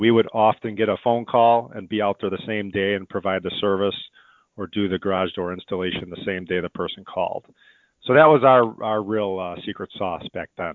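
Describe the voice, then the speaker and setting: Speaking fairly quickly, a man with an American accent has an unremarkable speaking voice at a fairly low pitch. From Chicago. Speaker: window company owner. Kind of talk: interview.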